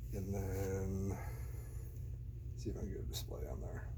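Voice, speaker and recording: A soft-spoken man talks at a very slow pace. Vocal fry runs through his voice. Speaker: guitarist and gear enthusiast. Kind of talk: casual ASMR-style gear walkthrough to camera.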